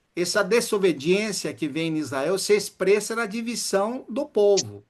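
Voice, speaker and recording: Speaking at a fairly slow pace, a man uses high pitch and lively intonation. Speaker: preacher. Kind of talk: sermon.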